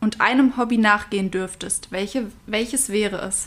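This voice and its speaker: A woman talks at a moderate pace, her voice fairly high in pitch with ordinary pitch variation. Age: 20s. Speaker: podcast co-host, university student. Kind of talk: casual chat.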